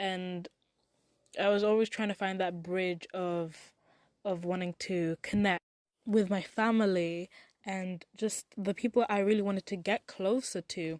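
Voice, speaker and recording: A woman talks at a fairly slow pace in an ordinary speaking voice, at a medium pitch. Her intonation is fairly even, and the background is quiet. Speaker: podcast host. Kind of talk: podcast monologue.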